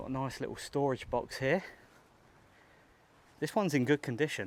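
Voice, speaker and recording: A man's voice, fairly high in pitch with ordinary pitch variation, at a moderate pace in a very clean recording with a silent background. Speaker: travel vlogger. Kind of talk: walking vlog to camera. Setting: outdoors on a beach. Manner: talking quietly.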